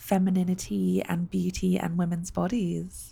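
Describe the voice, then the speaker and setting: The speaker talks at a fairly slow pace with a British accent on a very clean recording with a silent background. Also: woman. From UK. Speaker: podcast host. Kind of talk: casual interview. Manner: warm, animated.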